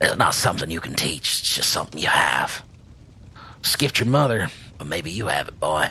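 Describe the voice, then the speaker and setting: Using a raspy, put-on character voice, a man speaks fairly quickly at a fairly low pitch with very wide pitch swings and long, frequent pauses, over clear background noise. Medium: actual play. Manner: gruff, wry.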